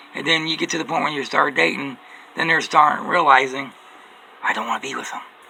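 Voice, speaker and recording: A man speaks at a fairly quick clip, with noticeable background noise throughout. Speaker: vlogger. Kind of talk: personal monologue. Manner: repetitive.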